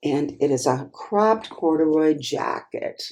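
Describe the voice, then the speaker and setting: A woman with an American accent and a dark, mellow tone, vocal fry, very wide pitch swings and a very slow pace. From US Midwest, Wisconsin. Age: 60s. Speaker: clothing reseller, YouTuber. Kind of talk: thrift haul video, casual talk to camera. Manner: chatty, conversational with fillers.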